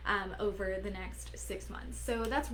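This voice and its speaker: Audible room echo surrounds a woman who speaks at a fairly slow pace in an animated tone. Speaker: business coach. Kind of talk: live stream talk. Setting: Facebook live video.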